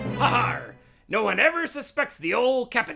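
A female-sounding, cartoonish character voice speaks at a high pitch and moderate pace with faint music in the background. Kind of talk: comic overacting. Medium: puppet show. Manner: gleeful, gloating.

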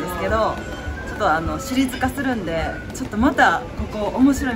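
Clear background music behind a woman's moderately paced speech. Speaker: food vlogger. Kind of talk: casual vlog chat.

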